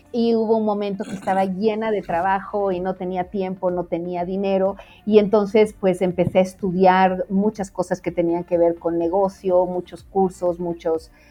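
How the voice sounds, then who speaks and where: Hardly pausing at all, the voice keeps up a moderate pace. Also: woman, medium pitch for a woman. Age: 50s. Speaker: designer and mentor. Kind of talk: interview. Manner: animated.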